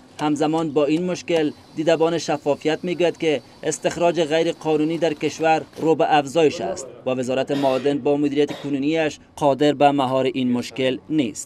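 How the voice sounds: A man speaks at a fairly high pitch, with little pitch movement and few pauses. His tone is slightly mellow.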